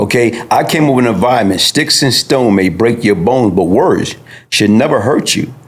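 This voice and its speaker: Noticeable background noise sits behind a man speaking at a moderate pace, his loudness very even and his pitch varying in an ordinary way. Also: medium pitch for a man. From US Northeast, Brooklyn, New York. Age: 60s. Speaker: former gang figure, interview guest. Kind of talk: podcast interview testimony.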